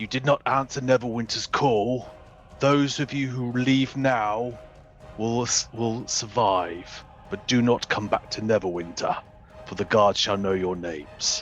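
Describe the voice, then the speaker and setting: Over clear music in the background, a man uses a put-on character voice that is loud and booming, with medium pitch and a fairly slow pace. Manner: loud, booming.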